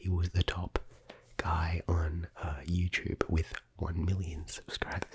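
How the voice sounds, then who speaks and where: A soft-spoken man with an Australian accent, very deep and low, somewhat breathy, monotone and flat, with a dry, close sound and no echo. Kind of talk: ASMR rambling vlog.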